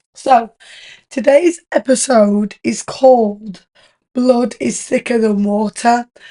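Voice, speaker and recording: Her tone is dark and mellow. A woman speaks in a British accent at a fairly high pitch. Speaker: podcast host. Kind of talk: casual chat.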